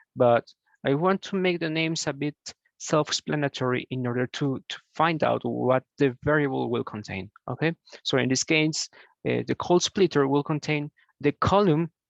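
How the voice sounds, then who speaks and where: With a Spanish accent, a man speaks at a moderate pace in a fairly high pitch, the sound dry and close with no echo over a quiet background. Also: ordinary pitch variation. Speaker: programming tutor. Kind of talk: tutorial. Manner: halting, many fillers.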